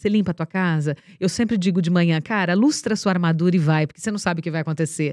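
Against a silent background in a very clean recording, a woman speaks very fast at a fairly low pitch with ordinary pitch variation. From interior of São Paulo state, Brazil (Ibaté). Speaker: TV presenter and speaker. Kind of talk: interview. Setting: studio.

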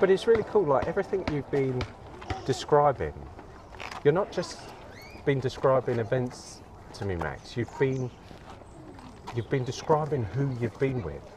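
With a southern English accent, a man speaks at a medium pitch and a moderate pace, leaving long, frequent pauses. His pitch swings very widely over noticeable background noise. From England, Crawley, West Sussex. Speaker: artist and architect. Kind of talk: casual chat. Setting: outdoors.

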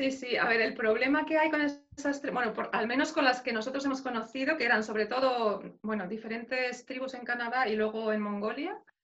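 The voice moves along fairly quickly. Its tone is bright and sharp. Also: woman. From Spain, Madrid. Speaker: life coach. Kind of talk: interview.

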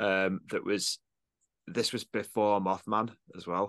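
Against a quiet background, a man with a northern English accent speaks at a fairly slow pace, his fairly low voice bright and sharp in tone but monotone and flat in intonation. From northern England, Cumbria (Eden valley). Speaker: electronic musician and audio producer. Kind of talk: casual chat.

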